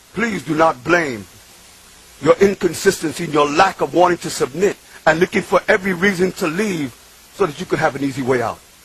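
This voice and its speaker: A high-pitched man speaks in an animated tone at a fairly quick pace. Noticeable background noise runs underneath. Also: ordinary pitch variation. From New York City, Bronx (Puerto Rican). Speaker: convert speaker. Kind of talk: testimony. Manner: emphatic, animated.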